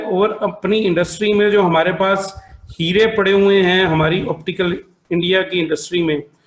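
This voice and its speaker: Pitched high, a man talks with a Punjabi accent. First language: Punjabi (speaking Hindi). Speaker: optometrist and association president. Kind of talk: formal welcome speech.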